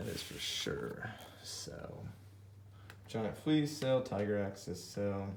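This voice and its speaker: A man's fairly low voice at a very slow pace, lively in intonation, broken by long, frequent pauses, with audible room echo and light background noise. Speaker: YouTube card collector. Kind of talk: card unboxing commentary. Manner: mumbling to himself; excited, exclaiming. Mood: excited, pleased. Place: home room. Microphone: phone near.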